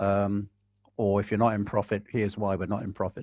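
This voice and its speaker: Against a quiet background, a man with an English accent talks at a moderate pace. His pitch is fairly low. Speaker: birder and ornithological society chair. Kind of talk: webinar Q&A advice. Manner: relaxing, calm.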